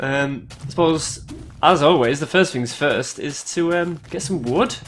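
Speaking very slowly in a British accent, a man has a fairly high pitch and ordinary pitch variation. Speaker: gaming video creator. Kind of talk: gameplay commentary.

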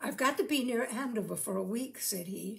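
The passage is read in an unforced reading voice.

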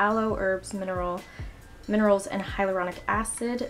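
A woman at a moderate pace with faint music in the background. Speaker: beauty vlogger. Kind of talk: makeup tutorial talk. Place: home room. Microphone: camera far.

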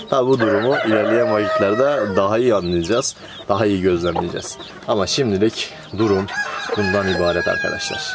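A man speaks at a moderate pace with music in the background. The sound is dry, with no echo. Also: ordinary pitch variation. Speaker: poultry keeper vlogger. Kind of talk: casual vlog chat. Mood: cheerful and warm. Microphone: phone near.

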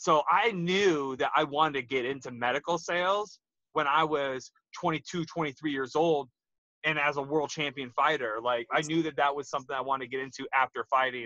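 A man speaks at a moderate pace and a fairly high pitch, with ordinary pitch variation and a bright, sharp tone. The sound is dry with no echo, and the background is quiet. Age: 30s. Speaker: retired MMA fighter. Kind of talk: casual interview chat. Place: car. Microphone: video call.

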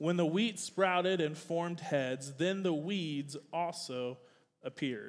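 A man speaks at a high pitch in an American accent. His pitch variation is ordinary. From US South. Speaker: youth pastor. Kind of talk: sermon. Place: church.

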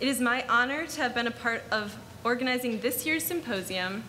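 A woman speaks at a high pitch with ordinary pitch variation. Light background noise can be heard. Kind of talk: opening address. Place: hall.

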